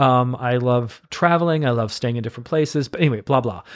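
The speech moves at a very fast pace with ordinary pitch variation. The recording is very clean with a silent background. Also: man. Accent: American. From US Midwest, Missouri (near St. Louis). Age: 50s. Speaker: Broadway actor and director. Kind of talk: casual chat.

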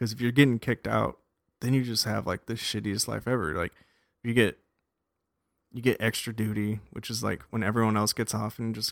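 An ordinary speaking voice comes from a man with an American accent, fairly low in pitch and fairly even in intonation, at a fairly quick pace. The recording is very clean with a silent background and a dry, close sound with no echo. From US West, Las Vegas, Nevada. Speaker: army veteran. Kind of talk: casual chat.

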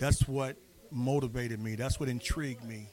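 Pitch varies in an ordinary way as the words arrive at a moderate pace. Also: man. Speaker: DJ. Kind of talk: casual talk about DJing. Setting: club with live audience. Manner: enthusiastic, repeats himself.

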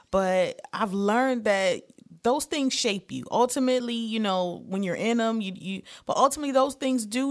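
In a very clean recording with a silent background, a woman with an American accent talks at a moderate pace. She has an ordinary speaking voice, fairly high in pitch with ordinary pitch variation. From Detroit, Michigan. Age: 40s. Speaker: comedian. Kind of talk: casual chat.

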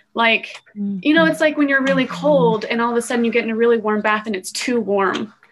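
Using an ordinary speaking voice, a woman talks at a fairly quick pace with an American accent and hardly any pauses. Her pitch is fairly high, with lively intonation. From Utah. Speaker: architecture student and mother. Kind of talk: casual chat.

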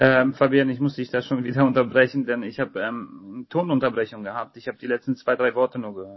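A man's medium-pitched voice at a fairly quick pace, fairly even in intonation, with hardly any pauses. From Poland, raised in Hamburg area from age 8. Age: 30s. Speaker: chef and caterer. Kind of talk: interview.

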